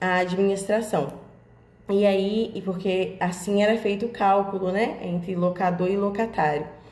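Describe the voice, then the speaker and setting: A woman's medium-pitched voice at a fairly slow pace, with fairly even intonation and audible room echo. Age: 20s. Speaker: job seeker. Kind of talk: personal career presentation. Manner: hesitant, many fillers.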